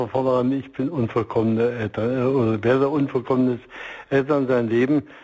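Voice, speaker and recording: An ordinary speaking voice, fairly level in intonation and average in speed. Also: man. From East Germany. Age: 60s. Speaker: marriage counselor and organization leader. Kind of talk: radio interview. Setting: remote line.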